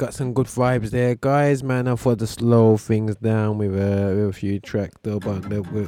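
A man keeps a moderate pace while noticeable noise sounds in the background. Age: 40s. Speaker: radio show host and gospel music promoter. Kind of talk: casual chat. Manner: halting with fillers.

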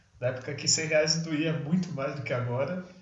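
Audible room echo surrounds a man with fairly high pitch who speaks at a moderate pace with ordinary pitch variation. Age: 30s. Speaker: podcast co-host. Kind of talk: casual chat.

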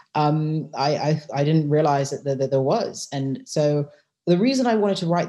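With a British accent, a woman talks at a fairly quick pace. Her tone is dark and mellow. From UK. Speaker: lawyer and novelist. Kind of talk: interview.

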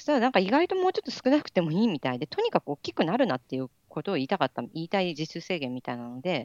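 A woman rushes along at a very fast pace with hardly any pauses, her pitch fairly low. Her pitch swings very widely and her loudness shifts a lot. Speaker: doctoral student. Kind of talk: casual interview chat.

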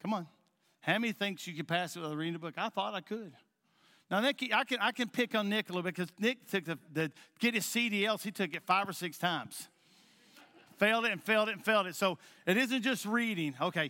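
A man's high, bright, sharp, raised and projected voice at a fairly quick pace with long, frequent pauses, in a very clean, dry, close recording with a silent background and no echo. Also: ordinary pitch variation. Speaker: pastor. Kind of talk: sermon. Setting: church. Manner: halting.

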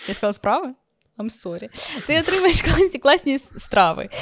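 With vocal fry and very wide pitch swings, a woman talks at a moderate pace, her loudness swinging widely. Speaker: podcast host. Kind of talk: interview.

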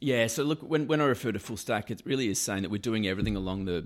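A man speaks with an Australian accent and ordinary pitch variation. The recording is very clean, with a silent background. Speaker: insurance executive. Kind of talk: interview. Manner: halting, many fillers and repeated words.

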